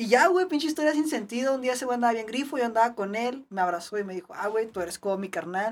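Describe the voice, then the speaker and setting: Talking very fast with hardly any pauses, a woman uses lively intonation at a fairly high pitch. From Ciudad Juárez, Mexico. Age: 20s. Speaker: BMX rider. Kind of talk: casual chat.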